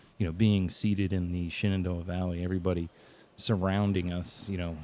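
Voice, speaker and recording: A man with a Southern accent talks at a fairly quick pace. His pitch is very deep and low, with audible room echo around him. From Virginia (Norfolk area), moved around. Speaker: small business owner and arts promoter. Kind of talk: casual podcast conversation.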